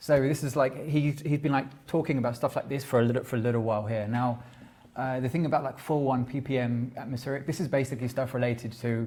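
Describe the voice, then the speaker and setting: Very fast, somewhat breathy man's voice with a London accent, medium pitch, fairly even intonation and a dark, mellow tone. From London, England. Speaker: tech generalist, small company owner. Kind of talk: conference talk. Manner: halting.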